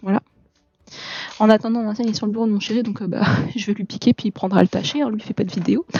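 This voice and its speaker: A soft-spoken woman talks at a very fast pace with a fairly high pitch. Her intonation is fairly even, broken by long, frequent pauses. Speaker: art vlogger. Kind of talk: casual vlog chat. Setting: at home desk at night. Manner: hesitant, many fillers.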